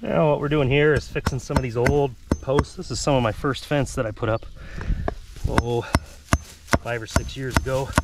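Moderate pace with long, frequent pauses over noticeable background noise. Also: man, medium pitch for a man, ordinary pitch variation. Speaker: farmer vlogger. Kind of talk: casual tutorial vlog while working. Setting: outdoors. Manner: casual, halting, unscripted.

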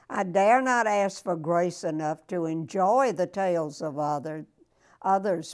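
A woman with a Southern US accent, her pitch fairly low, at a very slow pace against a quiet background. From Florida, USA. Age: 80s+. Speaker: elderly woman sharing wisdom. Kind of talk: prayer reading. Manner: spunky. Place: home room. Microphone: lapel.

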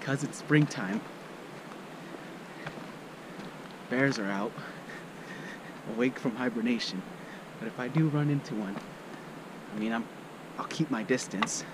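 With long, frequent pauses, a man talks at a moderate pace and ordinary pitch variation, in a dry sound with no echo and noticeable background noise. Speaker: hiker vlogger. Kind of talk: casual vlog chat. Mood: cheerful, relaxed. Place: forest. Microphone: phone near.

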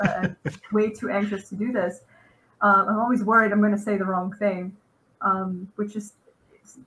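A woman talks at a fairly quick pace. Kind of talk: interview answer. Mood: warm, self-deprecating, laughing. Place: home room.

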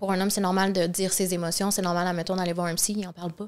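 Someone with a Quebec accent talks at a very fast pace over a quiet background. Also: woman. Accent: Québécois French. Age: 30s. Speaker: reality TV contestant, influencer; influencer. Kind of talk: casual interview. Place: studio. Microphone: studio mic.

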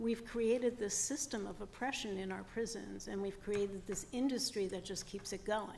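Noticeable background noise sits behind a woman speaking at a moderate pace. Her pitch is fairly high and her intonation fairly even. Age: 60s. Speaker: former parole board commissioner. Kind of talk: testimony. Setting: public hearing.

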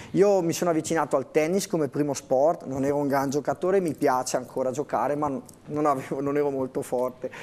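A man's fairly high voice at a fairly quick pace, with ordinary pitch variation. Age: 30s. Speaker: interview guest. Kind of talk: TV interview. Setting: TV studio. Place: studio. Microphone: lapel.

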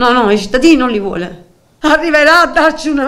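A woman is speaking. Her pitch is high. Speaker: mother of a mentally ill son. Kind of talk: emotional testimony. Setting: TV studio.

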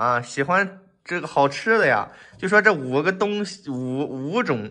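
This man's voice has a bright, sharp tone and very wide pitch swings. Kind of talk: explanatory bargaining talk. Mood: friendly, laughing. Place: home room.

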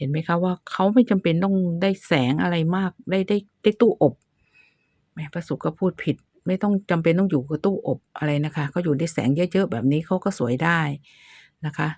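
A woman uses a normal speaking voice at a fairly low pitch with ordinary pitch variation. The sound is dry and close with no echo, over a quiet background. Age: 60s. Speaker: gardening YouTuber. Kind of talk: tutorial. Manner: casual, chatty.

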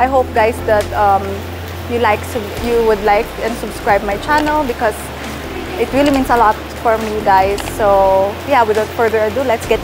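Woman's voice with ordinary pitch variation over music in the background. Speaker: vlogger. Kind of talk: casual vlog chat. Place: street. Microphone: lapel.

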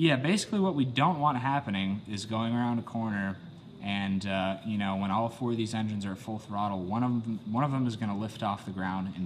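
A man talks at a fairly quick pace in a plain, everyday voice, his fairly low pitch showing ordinary pitch variation over light background noise. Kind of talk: casual build vlog explanation. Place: garage. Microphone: camera far.

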